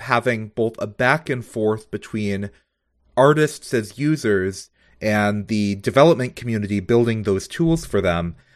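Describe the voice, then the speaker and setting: Against a quiet background, a man speaks in a normal speaking voice at a fairly slow pace with lively intonation. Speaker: podcast co-host. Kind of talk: interview.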